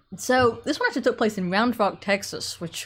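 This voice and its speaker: A woman speaks at a moderate pace in a somewhat breathy voice on a very clean recording with a silent background. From England. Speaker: political commentator. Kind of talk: live stream commentary. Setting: solo live stream with chat. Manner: casual, frequent fillers.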